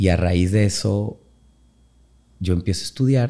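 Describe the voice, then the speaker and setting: There is a dark, mellow tone to this man's voice, which shows ordinary pitch variation. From Mexico, Orizaba, Veracruz. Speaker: dance teacher and choreographer. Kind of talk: casual interview.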